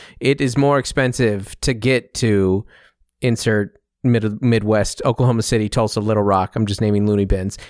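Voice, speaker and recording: A man with an American accent speaks in an ordinary speaking voice at a fairly low pitch and moderate pace, with fairly even intonation and very even loudness. The recording is very clean, with a silent background and a dry, close sound with no echo. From Seattle, US Pacific Northwest. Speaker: comedian. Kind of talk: casual chat. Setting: studio.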